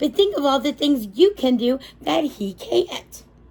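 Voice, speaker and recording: A woman uses a put-on character voice, high-pitched with very wide pitch swings, delivered at a moderate pace. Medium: read story.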